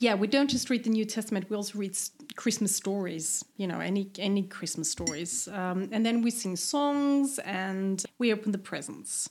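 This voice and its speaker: Delivered with a German accent, the speech moves at a moderate pace with ordinary pitch variation and hardly any pauses. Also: woman, medium pitch for a woman. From eastern Austria, near Vienna. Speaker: podcast guest, expat. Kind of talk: casual chat.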